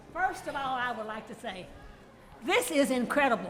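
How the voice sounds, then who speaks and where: A high-pitched woman speaks with lively intonation. Audible room echo and noticeable background noise are present. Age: 90s. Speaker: artist. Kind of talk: tribute toast.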